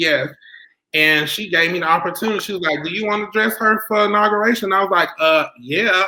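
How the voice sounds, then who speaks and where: A man's raised, projected voice in a Southern US accent, high in pitch, with a bright, sharp tone, ordinary pitch variation and a fairly quick pace. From US South, South Carolina. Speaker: fashion designer. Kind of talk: interview.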